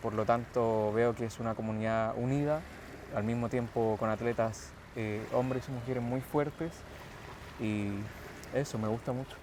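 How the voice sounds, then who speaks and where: Against noticeable background noise, a man speaks with fairly even intonation and long, frequent pauses. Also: medium pitch for a man, moderate pace. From Chile, Santiago. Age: 20s. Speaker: calisthenics athlete. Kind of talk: interview.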